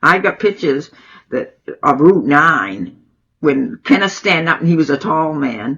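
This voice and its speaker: In a Maine accent, a woman speaks at a fairly slow pace with a very deep, low pitch, very wide pitch swings and vocal fry. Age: 90s. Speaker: oral history interviewee. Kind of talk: interview.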